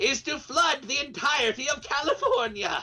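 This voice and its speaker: Over faint music in the background, a man uses a put-on character voice at an extremely high pitch and a moderate pace. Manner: comically villainous.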